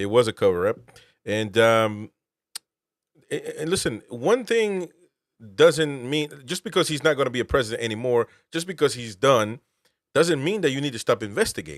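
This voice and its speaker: Animated in tone, a man with a fairly high pitch makes very wide pitch swings and takes long, frequent pauses, recorded with a dry, close sound and no echo. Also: moderate pace. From Peru, moved to US at 14. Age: 30s. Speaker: political podcast host, veteran. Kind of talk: casual political commentary. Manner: animated, halting with repetitions.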